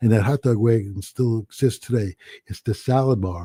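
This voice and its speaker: A man with a New Jersey accent speaks at a fairly quick pace, dark and mellow in tone and somewhat breathy. His intonation is fairly even, and the sound is dry and close with no echo. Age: 70s. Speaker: restaurant owner. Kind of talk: casual chat.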